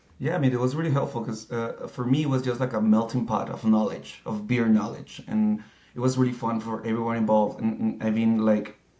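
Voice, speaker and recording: A man with a Spanish accent talks at a fairly quick pace, with hardly any pauses. His pitch is medium and his intonation fairly even. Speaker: certified beer professional. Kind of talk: interview. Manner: halting.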